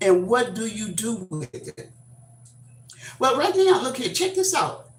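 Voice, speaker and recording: With an American accent, a woman speaks in a fairly high pitch with very wide pitch swings and an animated tone. Noticeable background noise and audible room echo are present. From Texas. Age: 70s. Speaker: YouTube livestreamer. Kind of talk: casual livestream talk. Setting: livestream. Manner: animated, expressive; halting, many fillers.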